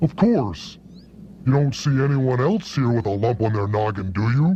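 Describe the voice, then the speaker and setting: The pitch of this man's voice is medium. He performs a put-on character voice. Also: moderate pace. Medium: short film. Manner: wry, avuncular.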